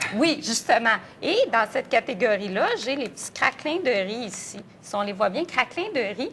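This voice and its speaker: The speaker has a Quebec accent and a moderate pace. Intonation is lively, and loudness swings widely. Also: woman, fairly high pitch for a woman. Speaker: nutrition expert. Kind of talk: TV morning show interview.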